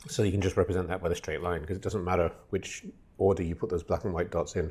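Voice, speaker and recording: Very deep and low, a man's voice moves at a very fast pace and sounds somewhat breathy. His intonation stays fairly even. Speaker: lecturer. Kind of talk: lecture. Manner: halting.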